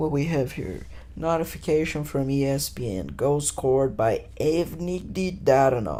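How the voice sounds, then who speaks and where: A man's voice comes through with clear room echo and a fair amount of background noise. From Brazil. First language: Portuguese. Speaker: podcaster. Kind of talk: casual solo podcast monologue. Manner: casual, profane.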